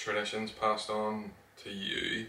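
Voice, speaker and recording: With audible room echo and noticeable background noise, a man with a Northern Irish accent talks at a fairly slow pace in a fairly low voice. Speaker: podcast co-host. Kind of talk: casual chat.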